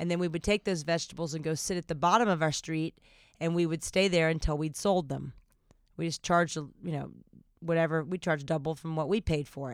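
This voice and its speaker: Pitched fairly low, a woman talks at a fairly quick pace with fairly even intonation. Her unremarkable speaking voice comes through a very clean recording with a silent background. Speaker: podcast host. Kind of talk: casual chat.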